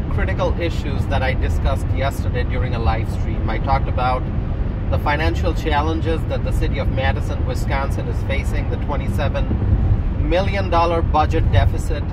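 There is loud background noise, though the sound itself is dry with no echo. A man speaks at a moderate pace. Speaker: political commentator. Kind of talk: commentary. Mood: earnest, concerned. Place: car.

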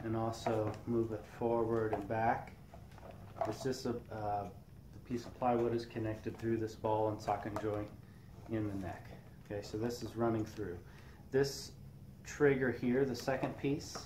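Fairly slow, fairly even speech broken by long, frequent pauses, over noticeable background noise. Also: man. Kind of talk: tutorial. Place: workshop.

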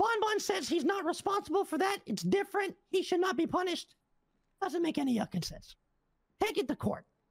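This is a put-on character voice at an extremely high pitch. The pace is fairly quick. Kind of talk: heated meeting speech. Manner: indignant, storytelling, exasperated.

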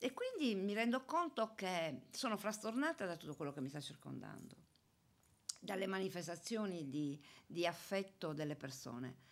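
A woman talks at a moderate pace, her pitch swinging very widely. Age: 60s. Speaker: retiring municipal police officer; radio guest. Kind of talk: interview. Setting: studio. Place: studio. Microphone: studio mic.

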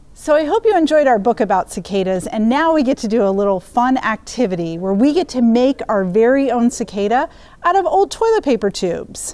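A woman talks at a fairly quick pace in a high voice that swings very widely in pitch. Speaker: conservation educator at library storytime. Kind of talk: craft tutorial for children. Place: hall. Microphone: lapel.

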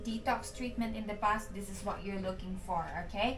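A woman is speaking. Light background noise sits behind her voice. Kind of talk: sales presentation. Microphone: camera far.

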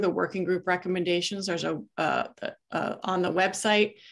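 The background is quiet. A woman of medium pitch talks at a fairly quick pace. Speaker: meeting facilitator. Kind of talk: facilitated group discussion. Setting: video call. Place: home room. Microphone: webcam.

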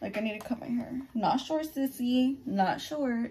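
With ordinary pitch variation, a woman speaks in a somewhat breathy voice that has a dark, mellow tone. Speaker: YouTuber. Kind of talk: casual get-ready-with-me vlog. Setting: at home. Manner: quiet, near-whispering; animated, profane.

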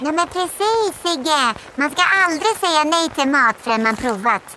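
The voice is a high-pitched, put-on character voice. Clear background noise can be heard. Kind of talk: dramatized children's audiobook.

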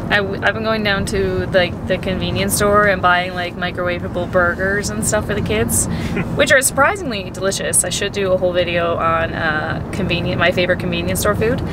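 The speech moves at a fairly quick pace with hardly any pauses, the sound dry with no echo over loud background noise. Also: woman. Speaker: family vlogger. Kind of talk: casual vlog chat. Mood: cheerful, laughing. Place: car. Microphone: phone near.

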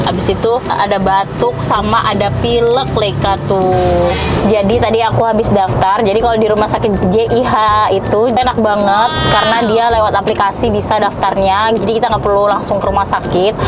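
A woman talks at a fairly quick pace with music playing in the background. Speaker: family vlogger. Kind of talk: casual vlog chat. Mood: concerned but chatty. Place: car.

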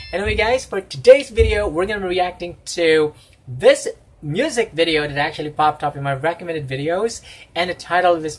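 A man with ordinary pitch variation, music in the background. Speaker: reaction video host. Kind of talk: casual vlog chat. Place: home room. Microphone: phone near.

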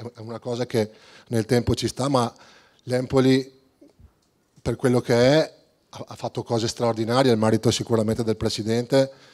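Over a quiet background, a man at medium pitch speaks in a monotone, flat intonation at a moderate pace, with long, frequent pauses. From Veneto, Italy. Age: 30s. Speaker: football coach. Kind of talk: press conference. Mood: determined, confident. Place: hall. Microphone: handheld.

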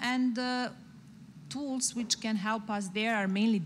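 The voice is somewhat breathy, with light background noise. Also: woman. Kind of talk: interview answer. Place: stage. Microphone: handheld.

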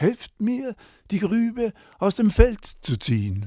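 A man's dark, mellow voice, calm and gentle in tone, at a very slow pace with very wide pitch swings, in a very clean recording with a silent background. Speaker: storyteller. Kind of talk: bedtime-style fairy tale storytelling, read aloud. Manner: calm, slow, gentle storyteller pacing with character voices.

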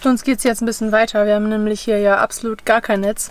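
A woman talks at a fairly quick pace, with a dry sound and no echo. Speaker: travel vlogger. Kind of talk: casual vlog chat. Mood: relaxed, cheerful. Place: car. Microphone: phone near.

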